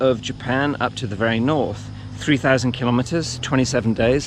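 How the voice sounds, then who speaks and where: A man with a plain, everyday voice at a medium pitch, with ordinary pitch variation and a moderate pace. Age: 60s. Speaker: cycling and running vlogger. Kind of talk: casual vlog monologue. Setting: outdoors, riding a bike.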